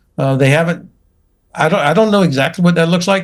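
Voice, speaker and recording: A man speaks with a North Florida accent. His pitch varies in an ordinary way. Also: very clean recording, silent background. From US South. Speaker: retired general, military commentator. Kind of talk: panel debate. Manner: halting.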